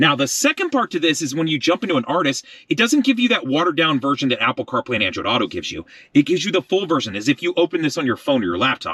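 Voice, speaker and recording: Very fast and bright with a sharp edge, a man's voice swings very widely in pitch and shows vocal fry, recorded dry and close with no echo. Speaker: car tech reviewer. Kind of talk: product review and tutorial.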